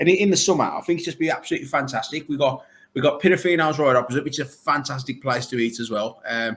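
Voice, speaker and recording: This man speaks at a very fast pace in an animated tone, his pitch fairly high with ordinary variation. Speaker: arcade owner. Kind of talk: casual chat.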